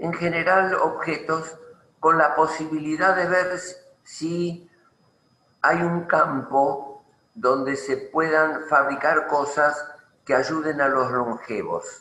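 A man's fairly high voice at a very slow pace, with fairly even intonation, long, frequent pauses and audible room echo. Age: 80s+. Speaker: retired engineer and inventor. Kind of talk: interview conversation.

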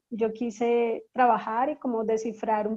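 A woman speaks at a fairly slow pace with a dark, mellow tone. Her intonation is monotone and flat. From Colombia, Bogotá, of Caribbean coast family. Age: 30s. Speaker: anthropologist and cultural consultant. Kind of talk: interview conversation. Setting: online call.

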